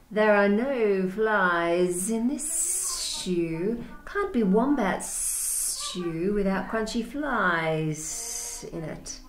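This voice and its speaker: Against clear background noise, a female-sounding put-on character voice hisses at a very slow pace in a fairly high pitch, with hardly any pauses. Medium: read story. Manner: hissing.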